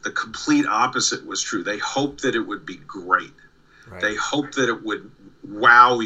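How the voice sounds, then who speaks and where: The speech moves at a moderate pace while the loudness swings widely. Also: man. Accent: slight New York. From New York. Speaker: comic artist and former studio assistant. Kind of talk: casual interview.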